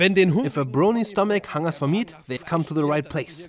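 A man's high voice, full of lively intonation, moves at a moderate pace. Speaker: event reporter. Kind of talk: comedic event report voice-over. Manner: upbeat, excited.

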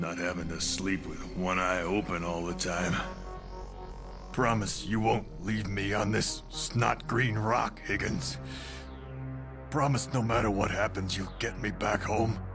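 Loud music plays behind a man with a very deep, low pitch who speaks at a fairly slow pace. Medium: talk show. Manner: wistful, weary.

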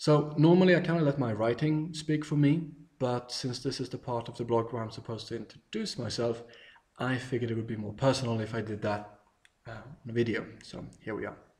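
Somewhat breathy, a man with a Swedish accent speaks with ordinary pitch variation. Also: fairly quick pace. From Sweden, countryside. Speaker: travel blogger. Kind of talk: video self-introduction. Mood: warm, friendly, enthusiastic. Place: home room. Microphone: webcam.

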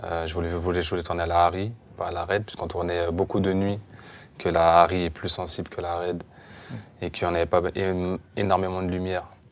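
A man speaks at a fairly quick pace with a very deep, low pitch and monotone, flat intonation. Long, frequent pauses break up his speech. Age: young. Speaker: film director. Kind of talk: interview. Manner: halting. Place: hall.

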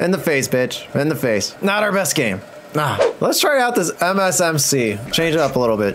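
Noticeable background noise sits behind a man with a fairly high pitch and very wide pitch swings. He keeps a moderate pace and very even loudness. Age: 20s. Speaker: gaming youtuber. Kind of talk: live gameplay commentary. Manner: animated. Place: home room.

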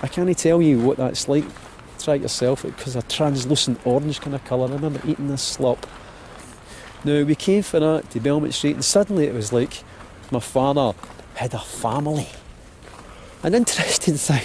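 Fairly quick, fairly high-pitched speech from a man with a Glaswegian accent, ordinary pitch variation, long, frequent pauses and noticeable background noise. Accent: Glaswegian Scottish. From Scotland. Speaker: actor. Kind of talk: personal storytelling walk narration.

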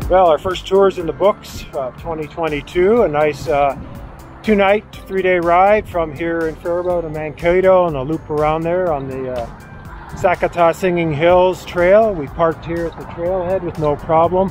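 A high-pitched male voice, dry with no echo, over faint background music. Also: moderate pace. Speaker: bike touring vlogger. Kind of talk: casual vlog chat. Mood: content, relaxed wrap-up. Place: street. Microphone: phone near.

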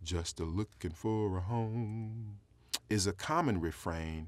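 With an American accent and ordinary pitch variation, a man talks in a dry sound with no echo. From US South (South Carolina). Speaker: poet. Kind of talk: poem reading. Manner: measured, lyrical; reflective, with wry humor. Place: studio. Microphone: lapel.

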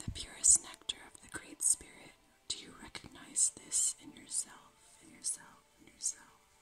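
Whispering at a moderate pace. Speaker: ASMR creator. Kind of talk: ASMR video. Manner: whispered. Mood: calm, gentle, soothing. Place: home room.

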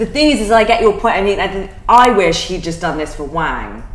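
Big pitch swings at a fairly quick pace, with faint background noise. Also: woman, medium pitch for a woman.

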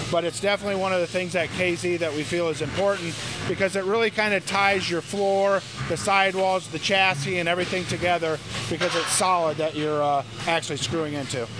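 A man talks at a very fast pace. The sound is dry with no echo, with noticeable background noise. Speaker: factory manager giving tour. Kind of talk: interview answer. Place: factory.

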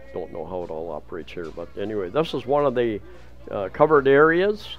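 Here a man's pitch swings very widely. Light background noise runs underneath. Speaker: travel vlogger. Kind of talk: casual walking vlog commentary. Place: market. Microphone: phone near.

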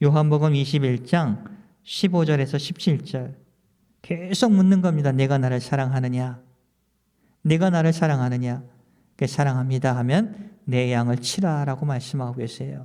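A man's voice has a dark, mellow tone and a fairly high pitch. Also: ordinary pitch variation, fairly slow pace. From South Korea. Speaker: pastor. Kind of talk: sermon.

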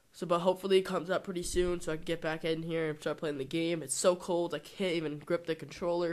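A man with a high pitch talks at a very fast pace in a monotone, flat intonation. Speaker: gaming YouTuber. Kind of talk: casual vlog rant. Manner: hesitant, filler-heavy.

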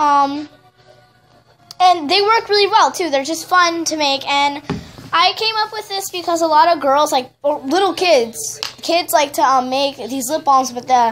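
Light background noise sits behind a woman with a high pitch, who speaks at a fairly slow pace with lively intonation. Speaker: first-time DIY vlogger. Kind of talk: casual DIY tutorial talk to camera. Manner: hesitant, stuttering, many fillers. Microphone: phone near.

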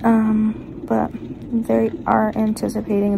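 A soft-spoken woman against noticeable background noise. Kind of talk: casual vlog chat. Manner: drowsy, soft, slow voice. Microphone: phone near.

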